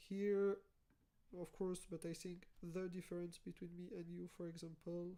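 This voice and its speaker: A woman's fairly low, dark, mellow voice with a non-native accent and monotone, flat intonation. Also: moderate pace. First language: not English. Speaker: YouTuber, former developer. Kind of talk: tutorial. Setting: live stream.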